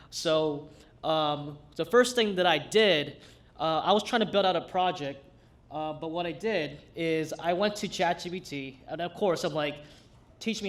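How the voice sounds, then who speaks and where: A man with a Brooklyn accent speaks at a high pitch. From New York City, Brooklyn. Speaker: hack night demo presenter. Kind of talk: live tech demo. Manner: casual, halting with fillers.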